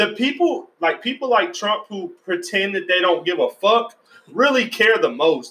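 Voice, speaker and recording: A man's raised, projected voice, high in pitch, with very wide pitch swings at a moderate pace. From US South, Georgia. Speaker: podcast host. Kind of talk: casual chat.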